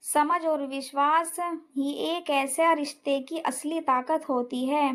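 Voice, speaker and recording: A woman with a high pitch talks with fairly even intonation. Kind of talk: romantic story narration.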